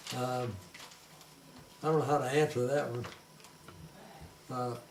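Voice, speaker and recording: Someone with a Southern US accent speaks at a moderate pace and fairly even intonation, with audible room echo and noticeable background noise. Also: man, medium pitch for a man. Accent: Southern US (Georgia). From US South (Georgia). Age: 80s+. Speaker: forester, grandfather. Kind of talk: family interview. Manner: halting, many fillers.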